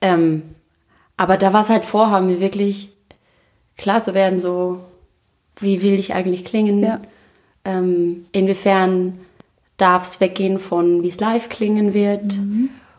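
At a fairly slow pace, a woman speaks in a medium pitch with monotone, flat intonation and long, frequent pauses. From Austria. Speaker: singer and actress. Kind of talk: interview. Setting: living room.

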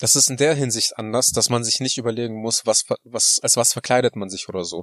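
An ordinary speaking voice moves at a moderate pace with fairly even intonation. The sound is dry and close, with no echo. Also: man. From Germany (moved there 1993 as a child). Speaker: podcast co-host. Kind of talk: casual chat. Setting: in a parked car.

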